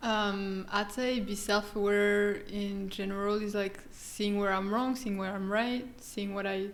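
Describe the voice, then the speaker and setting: In a French accent, a woman talks at medium pitch with monotone, flat intonation. Her pace is fairly slow with hardly any pauses, and audible room echo fills the space. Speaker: guest language learner. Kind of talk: casual chat. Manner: soft-spoken. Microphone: far from the mic.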